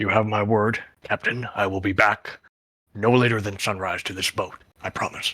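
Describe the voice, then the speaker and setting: The speaker uses a put-on character voice that sounds raspy. The pace is moderate. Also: man, fairly low pitch for a man. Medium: actual play. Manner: deferential, addresses the captain formally.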